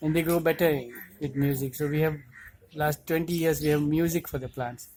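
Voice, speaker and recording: With a Gujarati accent, a man talks at a fairly high pitch. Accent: Indian English (Gujarati). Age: 60s. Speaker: cardiologist and organic farmer. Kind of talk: interview monologue. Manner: hesitant with fillers.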